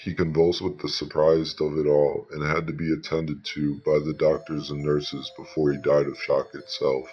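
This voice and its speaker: There is noticeable background noise as a man speaks at a moderate pace with a very deep, low pitch. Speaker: narrator reading the creepypasta story. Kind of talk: horror story narration, scripted reading aloud.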